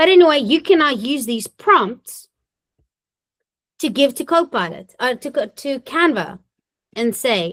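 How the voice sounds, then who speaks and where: With a high pitch and very wide pitch swings, a woman talks at a fairly slow pace, pausing often and at length. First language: not English. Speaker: municipal government trainer and webinar presenter. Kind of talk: webinar tutorial with live demo. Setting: recorded webinar. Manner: casual, conversational.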